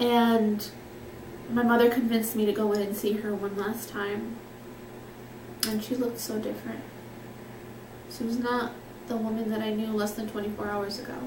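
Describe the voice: A woman at a fairly high pitch and moderate pace, with little pitch movement, long, frequent pauses and audible room echo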